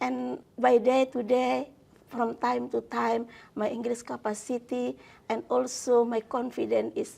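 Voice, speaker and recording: A woman with an Indonesian accent talks at a fairly slow pace. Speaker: law professor. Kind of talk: interview. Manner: hesitant, many fillers.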